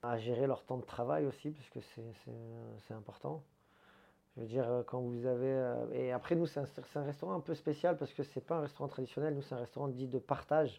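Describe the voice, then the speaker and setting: A man's plain, everyday voice at medium pitch, ordinary pitch variation and a fairly quick pace. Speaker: head waiter. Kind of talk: casual interview.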